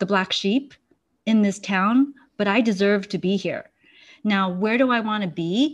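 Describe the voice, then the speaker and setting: A woman speaks in an ordinary speaking voice at a medium pitch, with ordinary pitch variation. The background is quiet. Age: 40s. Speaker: clinical hypnotherapist and mindfulness researcher. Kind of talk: casual interview chat.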